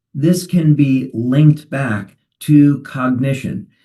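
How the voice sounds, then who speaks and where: Medium in pitch, a man's voice carries a dark, mellow tone. He speaks at a very slow pace. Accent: New Jersey. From New Jersey. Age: 60s. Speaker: company founder. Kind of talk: webinar talk.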